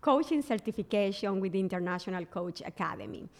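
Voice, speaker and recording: In a Spanish accent, the speaker talks at a fairly quick pace with lively intonation. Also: woman. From Colombia, Barranquilla. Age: 40s. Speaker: business coach. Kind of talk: interview guest.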